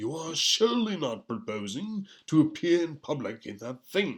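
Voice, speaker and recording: A man's put-on character voice, fairly high in pitch, at a moderate pace, with very wide pitch swings and big swings in loudness. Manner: hushed, shocked, formal.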